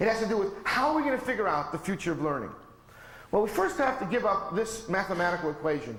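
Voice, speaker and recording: A man's high-pitched, animated voice at a very fast pace, with very wide pitch swings, noticeable background noise, and audible room echo. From US. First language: not English. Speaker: professor. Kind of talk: lecture.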